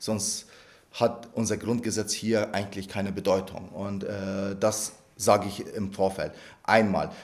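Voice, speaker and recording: Monotone, flat intonation in an Arabic accent. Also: man, fairly low pitch for a man. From Iraq, then Lower Bavaria from age 11. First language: Arabic (speaking German). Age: 30s. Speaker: member of parliament. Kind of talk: interview. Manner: hesitant, many fillers and repetitions.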